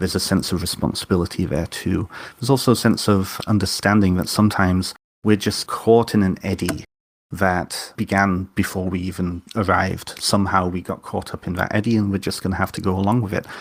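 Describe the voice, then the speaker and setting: A man with a very deep, low pitch speaks in a monotone, flat way at a fairly quick pace, in a very clean recording with a silent background. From North Wales. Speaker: author and witch. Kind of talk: interview conversation.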